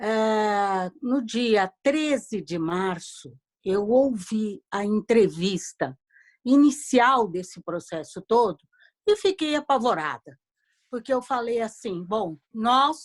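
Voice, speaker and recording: The recording is dry and close with no echo as a woman talks at a very slow pace with lively intonation. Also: fairly high pitch for a woman. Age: 60s. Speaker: audience member asking a question. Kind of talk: question in online Q&A.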